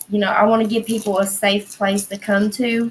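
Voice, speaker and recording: A woman with an American accent speaks at a moderate pace and medium pitch, her voice somewhat breathy. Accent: Southern accent, comes out harder when stoned. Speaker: livestream host. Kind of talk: casual chat. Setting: livestream.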